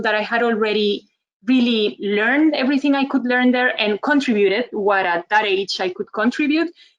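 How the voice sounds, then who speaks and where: Speaking at a moderate pace with a Costa Rican accent, a woman uses a fairly high pitch and lively intonation. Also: hardly any pauses. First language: Spanish. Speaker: communication trainer, webinar speaker. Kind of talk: webinar presentation.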